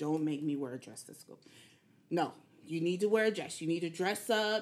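With an American accent, a woman speaks fairly quickly in an ordinary speaking voice with ordinary pitch variation. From Killeen, Texas. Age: 40s. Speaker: fitness enthusiast, mother. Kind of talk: casual podcast interview.

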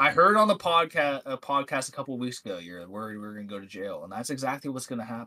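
With an American accent, a man talks very fast at a medium pitch with hardly any pauses, a bright, sharp tone, very wide pitch swings and big swings in loudness, on a very clean recording with a silent background. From Ohio, US. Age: 20s. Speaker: podcast guest. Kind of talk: casual chat.

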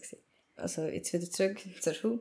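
With a Swiss accent, a woman talks at a fairly quick pace in a dark, mellow tone, with vocal fry and ordinary pitch variation. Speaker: podcaster. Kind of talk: personal monologue. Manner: casual, rambling.

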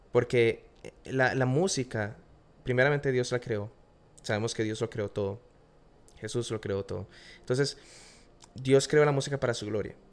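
A man's medium-pitched voice at a moderate pace, with long, frequent pauses, fairly even intonation, and a very clean recording over a silent background. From Costa Rica. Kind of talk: casual interview chat. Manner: hesitant, repeats words.

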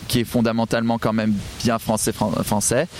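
A man speaks over noticeable background noise. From southwest France. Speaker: podcaster. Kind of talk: casual interview. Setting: outdoors by the water.

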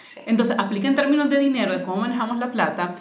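Against noticeable background noise and audible room echo, a woman talks at a very fast pace with ordinary pitch variation. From Nicaragua, Managua. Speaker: financial educator. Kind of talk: casual interview conversation.

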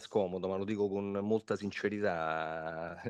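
In a quiet background, a man talks at a moderate pace with a fairly low pitch. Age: 40s. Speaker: amateur football coach. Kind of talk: interview. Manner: hesitant, repeats words.

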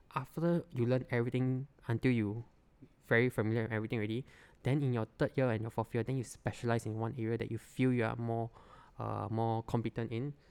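With a Singaporean accent, a man talks at a very fast pace in a medium pitch and fairly even intonation, on a very clean recording with a silent background. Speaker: product designer. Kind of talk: casual chat.

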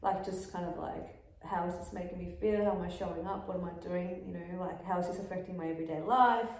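A woman with an Australian accent, fairly low in pitch, flat and monotone, very fast with hardly any pauses, over noticeable background noise. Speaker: podcast co-host and punk musician. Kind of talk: casual chat. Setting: studio with camera and ring light.

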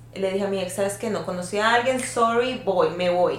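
Audible room echo around a woman's medium-pitched voice. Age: 30s. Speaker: podcast guest sharing experiences. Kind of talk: casual chat.

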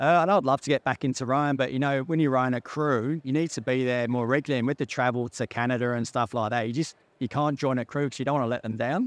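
Recorded very cleanly against a silent background, a man talks at a very fast pace with a dry, close sound and no echo. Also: medium pitch for a man, hardly any pauses. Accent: English. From England, North London. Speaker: mining company CEO. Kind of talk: interview. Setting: outdoors at a conference event.

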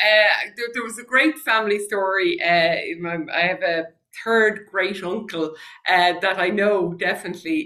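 The speaker has an Irish accent and a bright, sharp tone. The pace is fairly slow. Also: woman. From Ireland. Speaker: former senator and genealogist. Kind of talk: interview conversation.

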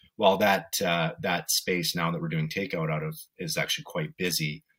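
A man speaks with a Canadian accent. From Vancouver, western Canada. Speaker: restaurant owner and chef. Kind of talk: casual interview.

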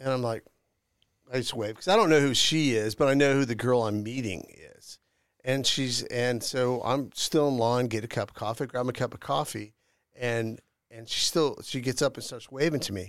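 In an ordinary speaking voice, a man at medium pitch talks at a moderate pace. His loudness swings widely, over a very clean recording with a silent background. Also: ordinary pitch variation. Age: middle-aged. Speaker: podcast host. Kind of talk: casual chat. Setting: studio.

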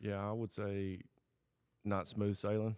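A man with a Tennessee accent speaks at a very deep, low pitch in a dark, mellow tone. His intonation is monotone and flat, and the recording is very clean with a silent background. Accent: Southern US (Tennessee). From US South, Southwest Tennessee. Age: 30s. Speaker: guest, hunter. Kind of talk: testimony. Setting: studio shop.

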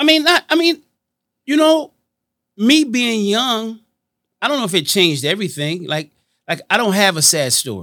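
Raised and projected, a man's high-pitched voice has a bright, sharp tone, very wide pitch swings, a moderate pace and long, frequent pauses. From Washington D.C. and Miami. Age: 50s. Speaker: entrepreneur and nightclub co-creator. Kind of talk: interview.

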